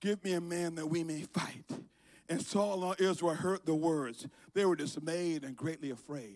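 A man's animated tone at a high pitch, moderate in pace, over a quiet background. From Liberia. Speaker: preacher. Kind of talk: sermon. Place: church. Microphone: handheld.

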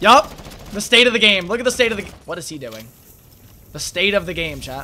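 Over noticeable background noise, a man with a high pitch uses a raised, projected voice in an animated tone, moving at a fairly quick pace with lively intonation, big swings in loudness, and long, frequent pauses. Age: 20s. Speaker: gaming streamer. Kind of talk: live gameplay commentary.

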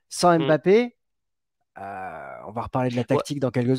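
With a quiet background and a dry sound free of echo, a man at a medium pitch swings his voice very widely up and down. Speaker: football podcast host. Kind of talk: casual sports chat. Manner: hesitant, stuttering repetitions. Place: home room. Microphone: headset.

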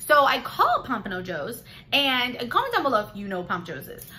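Fairly quick, animated woman's voice with an American accent, a bright, sharp tone and lively intonation, over light background noise. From Florida (Palm Beach). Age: 30s. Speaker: beauty and lifestyle vlogger. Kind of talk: casual vlog talk to camera. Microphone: phone near.

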